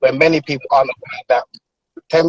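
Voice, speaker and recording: A man with a British accent comes through in a dry, close sound with no echo. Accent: UK. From London, UK (Nigerian family). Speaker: author. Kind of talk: interview conversation. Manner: hesitant, many filler ums.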